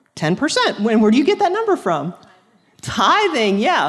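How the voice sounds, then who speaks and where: At a moderate pace, the voice carries audible room echo. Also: woman. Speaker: youth teacher. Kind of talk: lecture.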